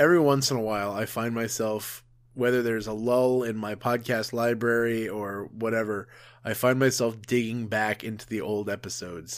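A man with a medium pitch and a normal speaking voice talks at a moderate pace with fairly even intonation. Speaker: podcast host. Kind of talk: casual chat. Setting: video call.

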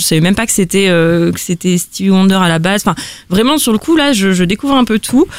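This woman has a plain, everyday voice at a medium pitch. She talks at a fairly quick pace with lively intonation. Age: 20s. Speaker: listener guest. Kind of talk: casual chat.

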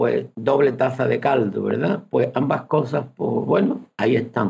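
A man talks at a fairly slow pace. His pitch sits in the medium range, with vocal fry. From Fuente de Andalucía, Seville province. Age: 70s. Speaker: retired teacher. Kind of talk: radio interview.

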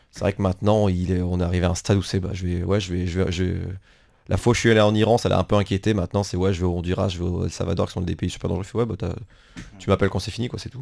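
Very deep and low in pitch, a man rattles along at a very fast pace in a monotone, flat delivery. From France. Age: 20s. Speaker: working-holiday traveller. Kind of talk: radio interview. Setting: radio studio. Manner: halting.

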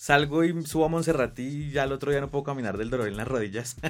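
Using a plain, everyday voice, a man moves at a fairly quick pace, his pitch varying in an ordinary way. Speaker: podcast host. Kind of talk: scripted intro narration; casual interview chat. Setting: studio.

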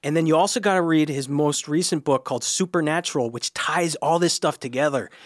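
Fairly high-pitched male voice at a fairly quick pace, with ordinary pitch variation, in a very clean recording, silent background, dry and close with no echo. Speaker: comedian and writer. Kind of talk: casual chat. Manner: excited, enthusiastic.

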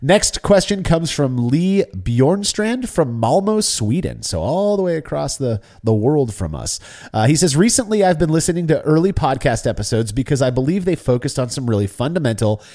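A man talks at a fairly quick pace in a fairly high voice with a dark, mellow tone and very wide pitch swings. The recording is very clean, with a silent background. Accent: American. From US Pacific Northwest (Seattle). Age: 40s. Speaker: homebrewing podcast host. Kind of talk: casual chat.

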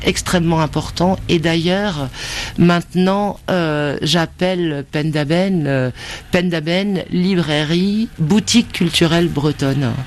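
At a very slow pace, a woman with a fairly low pitch talks with ordinary pitch variation amid noticeable background noise. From Brittany. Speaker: bookseller. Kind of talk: interview.

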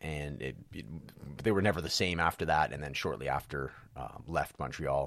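A man talks at a fairly quick pace with vocal fry and ordinary pitch variation in a very clean recording with a silent background. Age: 40s. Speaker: wrestling podcast host. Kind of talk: solo casual commentary.

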